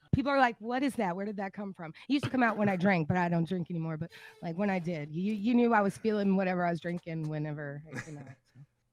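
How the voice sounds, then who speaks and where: With an American accent and lively intonation, a woman talks very fast at a medium pitch, her loudness swinging widely. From Texas. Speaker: streamer. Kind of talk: casual chat. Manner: halting.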